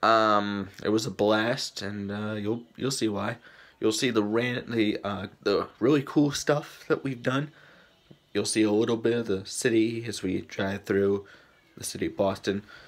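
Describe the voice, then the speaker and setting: A man with a normal speaking voice talks at a fairly slow pace. His pitch is fairly low, and his intonation is fairly even. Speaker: vlogger. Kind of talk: casual vlog chat. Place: home room. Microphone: phone near.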